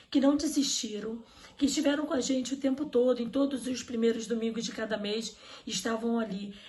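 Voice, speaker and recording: A woman speaks in a normal speaking voice at a moderate pace, fairly high in pitch with ordinary pitch variation. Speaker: event host. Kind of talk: online religious event hosting. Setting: online live stream.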